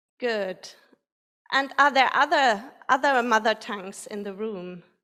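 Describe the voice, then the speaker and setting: A woman speaks in a fairly high pitch with a bright, sharp tone and big swings in loudness. The recording is very clean, with a silent background. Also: ordinary pitch variation. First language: not English. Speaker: playback theatre facilitator. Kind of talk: audience warm-up at live performance. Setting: stage with live audience. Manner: halting, many fillers and restarts.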